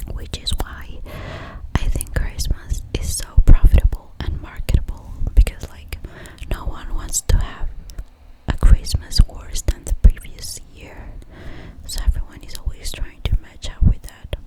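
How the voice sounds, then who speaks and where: Someone whispers fairly slowly, leaving long, frequent pauses, while noticeable background noise continues. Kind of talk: ASMR ramble to camera. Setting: home recording, studio microphone. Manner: whispered.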